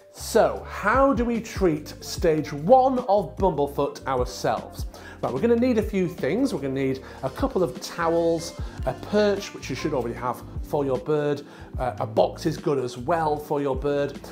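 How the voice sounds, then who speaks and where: A man speaking at a moderate pace over clear background music. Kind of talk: tutorial. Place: home room. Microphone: lapel.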